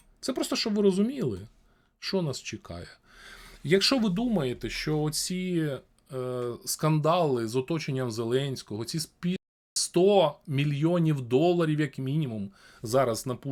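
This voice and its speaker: Pausing long and often, a man speaks at a fairly slow pace with a fairly high pitch and lively intonation on a very clean recording with a silent background. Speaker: streamer talking to random people in video chat. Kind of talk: casual debate with strangers; reading news aloud.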